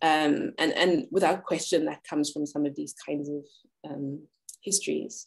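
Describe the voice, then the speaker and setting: Very deep, low-pitched woman's voice with vocal fry, ordinary pitch variation and a fairly slow pace. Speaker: researcher and community organizer. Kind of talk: panel discussion. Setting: video call.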